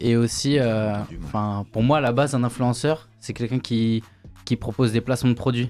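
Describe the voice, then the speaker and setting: Music plays in the background. A man talks with fairly even intonation. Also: medium pitch for a man, moderate pace. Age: 20s. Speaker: content creator. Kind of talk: debate.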